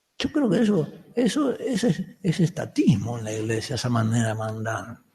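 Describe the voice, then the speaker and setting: A man's dark, mellow, somewhat breathy voice, fairly high in pitch, with very wide pitch swings. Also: moderate pace. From Uruguay, Montevideo. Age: 70s. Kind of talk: lecture. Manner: halting, with frequent restarts.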